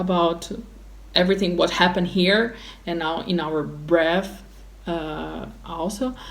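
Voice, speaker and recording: With a Portuguese accent, a woman speaks at a very slow pace and a fairly low pitch, her intonation fairly even, with audible room echo. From Brazil. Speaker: opera singer. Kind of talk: interview. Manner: halting.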